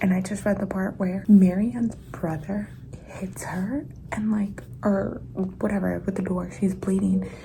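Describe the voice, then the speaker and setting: Someone whispers softly at a fairly slow pace over noticeable background noise. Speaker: book vlogger. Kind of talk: reading vlog commentary. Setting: at work. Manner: soft-spoken whisper.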